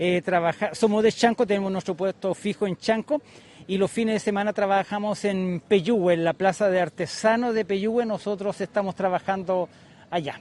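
Speaking at a moderate pace, a man with a high voice keeps his intonation fairly even, and the sound is dry and close with no echo. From Chile, Maule region. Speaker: honey producer. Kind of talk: interview at market stall. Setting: outdoors at craft fair.

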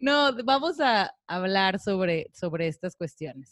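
Heard dry and close with no echo, a woman at medium pitch speaks very slowly with lively intonation. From Mexico, Tijuana. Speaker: podcast co-host. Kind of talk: casual chat. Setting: studio.

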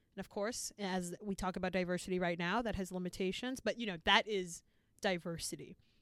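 With an American accent, a woman uses a normal speaking voice of medium pitch, talking at a fairly quick pace with fairly even intonation. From Boston. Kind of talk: interview excerpt.

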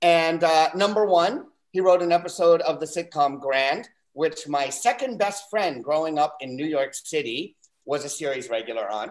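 At a moderate pace, a man talks in a fairly high pitch with a plain, everyday voice. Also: lively intonation. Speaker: comedian. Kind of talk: stand-up set.

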